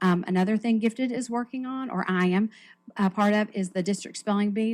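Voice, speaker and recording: Medium in pitch, this is a woman's voice. Her intonation stays fairly even. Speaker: school gifted program coordinator. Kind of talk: staff report at school board meeting. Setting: school board meeting. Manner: fast.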